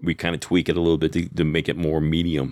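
A man talks very fast in a very deep, low voice. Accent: American. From Texas. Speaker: cigar company sales rep. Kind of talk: casual interview.

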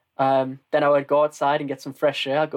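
Man in a northern English accent, fairly high in pitch, at a moderate pace, with a dry, close sound with no echo. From northern England. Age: 20s. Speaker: marketer and aspiring comedian. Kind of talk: casual interview conversation.

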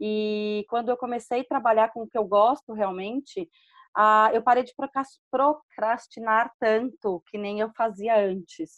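In an ordinary speaking voice, a woman with a fairly high pitch talks at a fairly slow pace with fairly even intonation. The sound is dry and close with no echo, over a quiet background. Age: 40s. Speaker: entrepreneur, podcast community member. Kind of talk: casual chat.

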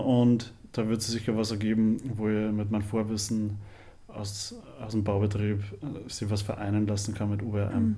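A dark, mellow tone at a moderate pace with audible room echo. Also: man. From Upper Austria, near Linz. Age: 20s. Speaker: university student. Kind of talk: casual interview.

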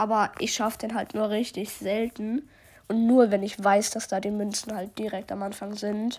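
In a very clean recording with a silent background, a woman with a fairly high pitch talks at a moderate pace in a flat, monotone way. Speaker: gaming podcaster. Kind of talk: gameplay commentary.

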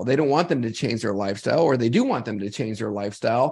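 A man with a plain, everyday voice speaks at medium pitch with ordinary pitch variation against a quiet background. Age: 50s. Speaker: health podcast co-host. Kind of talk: casual chat.

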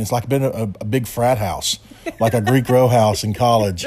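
A man with a normal speaking voice talks at a moderate pace in a medium pitch with fairly even intonation. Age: 40s. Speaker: podcast co-host, contractor. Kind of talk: casual chat.

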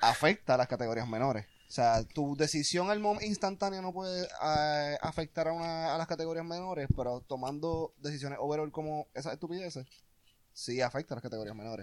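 A man with an unremarkable speaking voice talks fairly quickly at a fairly high pitch, with ordinary pitch variation. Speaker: podcast guest. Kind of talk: casual chat.

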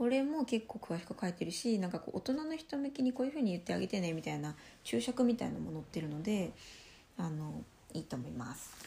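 Very fast-paced speech from a woman at medium pitch, with very wide pitch swings. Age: 20s. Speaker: solo podcaster on sex education. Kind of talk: casual monologue.

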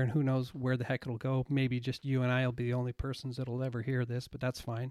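Recorded very cleanly against a silent background, a man talks at a fairly quick pace and medium pitch. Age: 50s. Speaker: podcast host, former radio broadcaster. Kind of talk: casual interview chat. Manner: halting, many fillers.

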